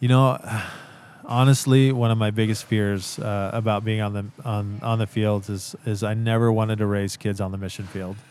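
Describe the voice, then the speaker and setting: Keeping a moderate pace, a man with a West Coast US accent speaks at a fairly low pitch in a monotone, flat intonation. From US Pacific Northwest, Central Oregon. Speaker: missionary. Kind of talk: casual interview. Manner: halting, many fillers.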